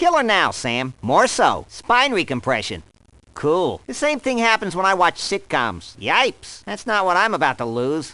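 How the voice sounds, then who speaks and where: Against a quiet background, a man speaks in a put-on character voice at a moderate pace. His pitch is high and swings very widely. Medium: dub. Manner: sarcastic, wisecracking.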